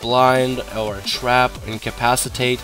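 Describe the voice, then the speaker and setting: A man speaks at a very slow pace with a medium pitch. Music plays in the background. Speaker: gaming video creator, player-versus-player guide maker. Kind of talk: gameplay tutorial commentary. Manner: casual, conversational with filler words.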